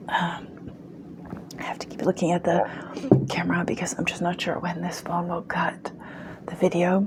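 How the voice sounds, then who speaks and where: A woman whispers over noticeable background noise. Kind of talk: casual talk to camera, book review. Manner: soft-spoken, ASMR-style.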